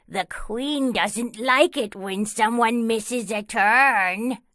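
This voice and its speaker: A female-sounding voice does a put-on character voice with fairly high pitch. The pace is very slow. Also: very clean recording, silent background. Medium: read story.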